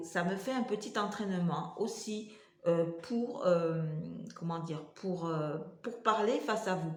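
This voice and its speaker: A woman at medium pitch and very slow pace, with ordinary pitch variation and audible room echo. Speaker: vlogger with multiple sclerosis. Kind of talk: casual vlog talk to camera. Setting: home kitchen. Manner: halting, many hesitations.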